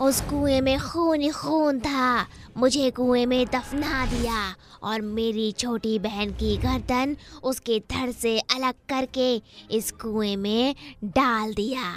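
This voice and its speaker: This female-sounding voice uses a put-on character voice, pitched high for a woman and delivered at a fairly slow pace. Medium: read story.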